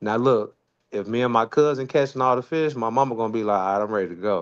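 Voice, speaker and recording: A man with a Memphis accent at a fairly quick pace, ordinary pitch variation, quiet background. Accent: Southern US, Memphis. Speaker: live stream co-host. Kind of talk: casual chat. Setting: live stream.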